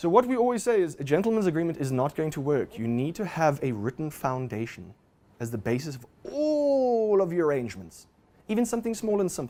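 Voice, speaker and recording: Fairly high for a man, this voice moves through very wide pitch swings at a fairly quick pace. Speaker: lawyer. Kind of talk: lecture. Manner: fast; animated.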